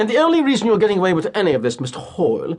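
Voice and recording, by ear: A man puts on a character voice with a British accent, high-pitched with very wide pitch swings, at a very fast pace. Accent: put-on British.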